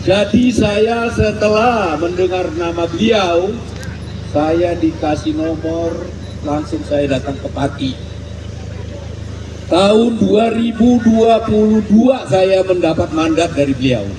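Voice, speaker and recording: Amid noticeable background noise and audible room echo, a man with a high voice speaks very slowly with lively intonation. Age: 70s. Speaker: regional organizer of a civic movement. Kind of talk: speech at outdoor rally.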